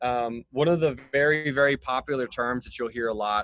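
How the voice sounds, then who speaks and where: In a dry, close sound with no echo, a man talks at a medium pitch in a normal speaking voice. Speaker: financial educator. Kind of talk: interview conversation explaining finance. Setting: video call.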